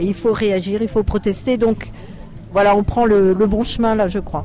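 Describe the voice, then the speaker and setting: A woman's voice at medium pitch. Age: old. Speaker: retired activist protester. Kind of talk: street interview. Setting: outdoors at a street demonstration.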